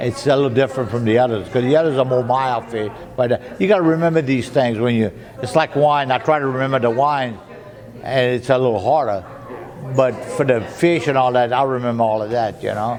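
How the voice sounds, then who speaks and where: Over noticeable background noise, a man talks at a fairly quick pace with a Louisiana accent. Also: medium pitch for a man, ordinary pitch variation. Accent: Cajun French. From Louisiana Cajun. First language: French. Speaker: waiter. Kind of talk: interview answer. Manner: chatty, folksy.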